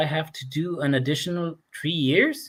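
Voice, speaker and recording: At a moderate pace, a man with an American accent speaks with lively intonation. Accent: sounds American. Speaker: recruitment host. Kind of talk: casual chat. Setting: video call.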